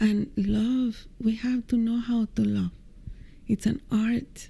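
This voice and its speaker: A soft-spoken woman's voice, fairly high and somewhat breathy, dark and mellow in tone, at a very slow pace. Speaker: meditation teacher. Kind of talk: interview answer. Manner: soft-spoken, light-hearted.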